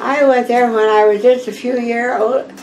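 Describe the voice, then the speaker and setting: A woman's flat, monotone delivery with an American accent, at a fairly slow pace, over light background noise. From US Midwest, Iowa. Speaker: oral history interviewee; interviewee. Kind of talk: oral history interview. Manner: halting. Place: home room.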